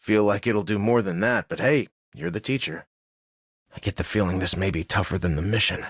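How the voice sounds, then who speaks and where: A man uses a put-on character voice at a fairly quick pace and fairly low pitch, with ordinary pitch variation. The sound is dry and close, with no echo. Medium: video game.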